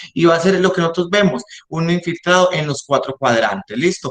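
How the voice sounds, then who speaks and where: A man's voice with ordinary pitch variation. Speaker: respiratory therapist in intensive care. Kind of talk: lecture. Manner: fast.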